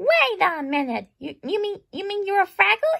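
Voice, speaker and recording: A woman does a squeaky, put-on character voice at an extremely high pitch, at a moderate pace. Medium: read story.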